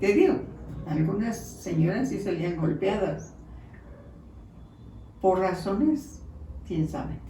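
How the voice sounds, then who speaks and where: A woman talks at a very slow pace with lively intonation and long, frequent pauses. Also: medium pitch for a woman. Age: 80s+. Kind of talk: interview answer.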